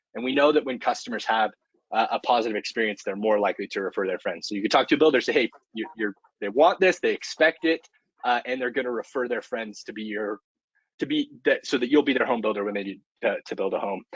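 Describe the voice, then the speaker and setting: A man speaks at a medium pitch and a very fast pace. His pitch variation is ordinary. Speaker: marketing manager hosting a product webinar. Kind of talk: webinar presentation. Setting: online webinar.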